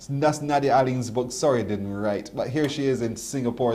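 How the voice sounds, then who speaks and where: Amid audible room echo, a man talks at a fairly quick pace. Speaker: morning TV show host. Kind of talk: interview. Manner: warm, enthusiastic.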